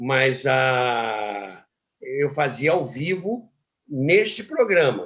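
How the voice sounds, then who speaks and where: A man's voice with very wide pitch swings. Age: 80s+. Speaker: radio broadcaster. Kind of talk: interview answer.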